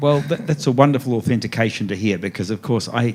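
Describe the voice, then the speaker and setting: A man talks at a fairly quick clip with an Australian accent. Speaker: author. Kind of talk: author talk at festival event. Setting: stage with audience. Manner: fast.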